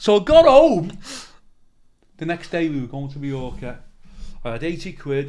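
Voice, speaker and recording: Speaking at a moderate pace in a Liverpool accent, the voice leaves long, frequent pauses. Those gaps come often and run long. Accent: Scouse (Liverpool). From Liverpool, England. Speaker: comedian. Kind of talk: casual interview storytelling. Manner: animated.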